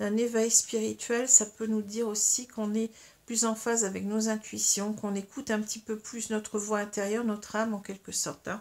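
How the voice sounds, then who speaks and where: Her intonation monotone and flat, a woman talks at a moderate pace with a fairly high pitch. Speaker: tarot and astrology reader. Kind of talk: tarot card reading. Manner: halting, many fillers.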